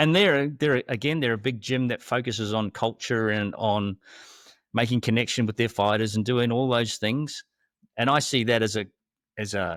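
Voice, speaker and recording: This is a normal speaking voice at a moderate pace with ordinary pitch variation, recorded very cleanly against a silent background with a dry, close sound and no echo. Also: man. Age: 60s. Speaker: podcast host and former fighter. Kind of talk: casual chat.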